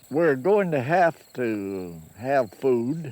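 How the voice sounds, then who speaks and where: Very slowly and with very wide pitch swings, a man speaks with a Kentucky accent. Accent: Southern US, Kentucky rural. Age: 80s+. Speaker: farmer. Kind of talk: interview answer.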